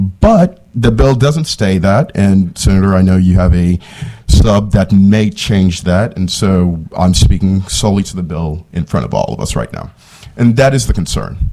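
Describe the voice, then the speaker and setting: A man talks at a moderate pace with lively intonation over noticeable background noise. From Haiti. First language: Haitian Creole or French. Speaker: policy advocate testifying at hearing. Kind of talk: committee testimony. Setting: state senate committee hearing.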